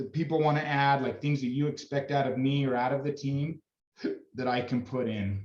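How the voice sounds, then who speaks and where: The man's voice sits at medium pitch with fairly even intonation. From Utah, Davis County. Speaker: youth sports coach. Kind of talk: team meeting talk to parents. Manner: loud; casual, halting.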